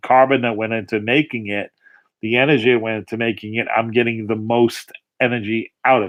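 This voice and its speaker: Talking with a Long Island accent, a man keeps a fairly quick pace. His intonation is monotone and flat. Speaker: political livestream host. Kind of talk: casual rant. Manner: halting, with many repeats and fillers.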